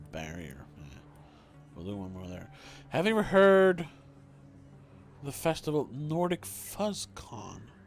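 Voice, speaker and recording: Over music in the background, a man with a fairly high voice speaks at a fairly slow pace, with long, frequent pauses, very wide pitch swings and big swings in loudness. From Sweden. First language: Swedish. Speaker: video game streamer. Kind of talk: live game stream commentary. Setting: livestream. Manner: halting.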